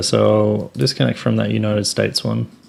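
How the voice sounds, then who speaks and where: A man speaks with an Australian accent. His pitch is fairly low and his pace moderate. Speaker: software company presenter. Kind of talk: tutorial.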